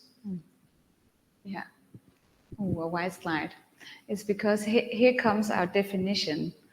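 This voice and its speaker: Somewhat breathy and pitched in a medium range, a woman speaks at a fairly slow pace with long, frequent pauses, big swings in loudness and fairly even intonation. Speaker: career guidance researcher. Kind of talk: conference presentation.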